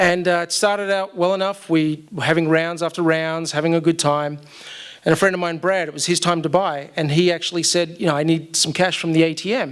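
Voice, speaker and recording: A man with an Australian accent speaks at a high pitch. His delivery is fairly quick, with monotone, flat intonation. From Australia, Melbourne. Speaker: storyteller. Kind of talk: live storytelling. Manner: casual, with many fillers.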